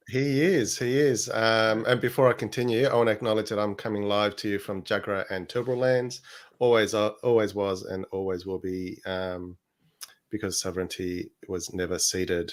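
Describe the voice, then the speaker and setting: In an Australian accent, a man speaks with a fairly low pitch and ordinary pitch variation. The recording is very clean, with a silent background. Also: moderate pace. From Australia (born in Chile). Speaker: podcast co-host. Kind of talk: casual chat.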